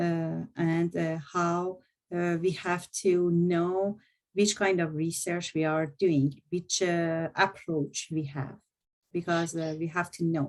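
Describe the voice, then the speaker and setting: A woman's fairly low voice moves at a very slow pace. Her intonation stays flat and monotone. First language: not English; French is second language. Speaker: university lecturer. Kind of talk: presentation to students. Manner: halting, many fillers.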